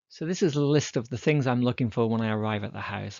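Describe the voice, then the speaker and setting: A man with an English accent, talking at a moderate pace. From England. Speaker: dendrochronologist. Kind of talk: lecture.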